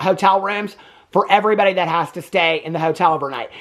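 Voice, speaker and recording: A man speaks with a Southern US accent at a high pitch for a man. His tone is animated, with ordinary pitch variation. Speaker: movie reviewer, YouTuber. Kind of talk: casual movie review recap.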